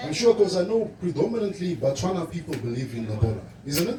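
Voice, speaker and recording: The delivery is animated, with very wide pitch swings at a fairly quick pace. Noticeable background noise runs underneath. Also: man. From Namibia, Zambezi region. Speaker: livestock farming presenter. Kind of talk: presentation at event.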